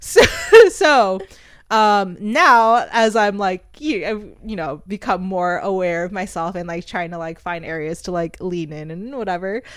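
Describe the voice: A soft-spoken woman talks at a fairly slow pace. Her medium-pitched tone is clear and smooth. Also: ordinary pitch variation.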